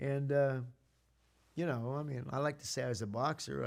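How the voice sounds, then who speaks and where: A man with a fairly high pitch talks at a moderate speed, the recording very clean and the background silent. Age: 60s. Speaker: comedic storyteller playing a minister. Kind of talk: comedic monologue. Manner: halting.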